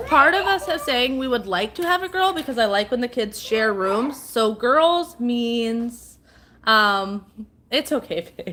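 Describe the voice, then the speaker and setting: Loud and at a fairly slow pace, a woman speaks with a high pitch and very wide pitch swings. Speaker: livestreamer and mom. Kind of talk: casual live stream chat. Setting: at home live stream.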